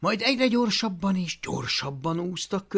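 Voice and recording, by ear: Someone is reading aloud. They do so in a natural voice.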